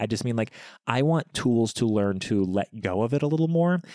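A man's plain, everyday voice at a fairly quick pace with lively intonation, dry and close with no echo, on a very clean recording with a silent background. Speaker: podcast host, expectant father. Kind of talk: casual chat between partners.

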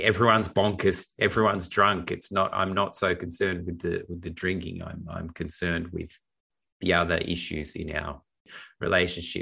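A man's very deep, low voice with a bright, sharp tone, monotone, flat delivery and moderate pace over a quiet background. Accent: Australian. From Australia. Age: 40s. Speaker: filmmaker, writer and actor co-hosting a film review show. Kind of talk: casual film discussion.

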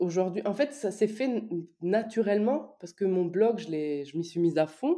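A woman speaks at a fairly slow pace with lively intonation. Her tone is dark and mellow. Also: medium pitch for a woman. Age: 30s. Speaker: business coach and entrepreneur. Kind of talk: casual interview.

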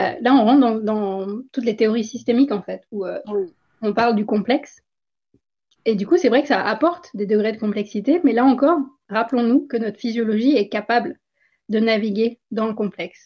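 A woman with a fairly high, somewhat breathy voice uses ordinary pitch variation and leaves long, frequent pauses. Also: moderate pace. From India. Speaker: former physician, author and wellness coach. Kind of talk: interview.

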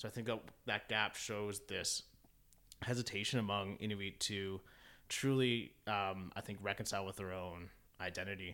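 Over a very clean recording with a silent background, a man with a Canadian accent speaks at a fairly low pitch in a bright, sharp tone. His pace is moderate, his intonation fairly even, and he leaves long, frequent pauses. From Ontario, Canada (Keswick). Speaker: Inuit youth advocate. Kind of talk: interview conversation.

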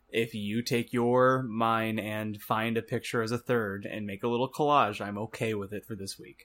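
A normal speaking voice with fairly even intonation and big swings in loudness moves at a moderate pace with hardly any pauses, on a very clean recording with a silent background. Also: man, medium pitch for a man. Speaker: podcast co-host. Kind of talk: casual chat.

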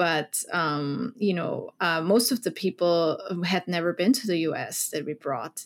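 A woman with a German accent, medium in pitch with ordinary pitch variation, at a moderate pace, in a very clean recording with a silent background. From Austria, Vienna. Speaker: foreign policy program director. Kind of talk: interview.

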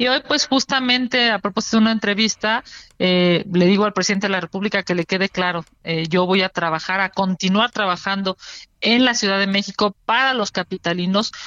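Speaking with a Mexico City accent, a woman keeps a fairly quick pace, medium pitch, ordinary pitch variation and very even loudness. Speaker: politician. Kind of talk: interview.

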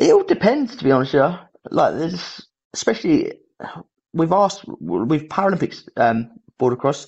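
A man with a British accent at a moderate pace, with long, frequent pauses. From Britain. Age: 30s. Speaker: Paralympic snowboard athlete. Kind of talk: casual chat. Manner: halting.

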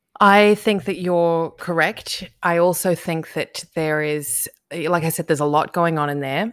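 Her pitch is fairly low. The woman talks with an Australian accent. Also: ordinary pitch variation, fairly slow pace. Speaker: podcast host. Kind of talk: casual interview chat. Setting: video call, recording at night. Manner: quiet, keeping voice down.

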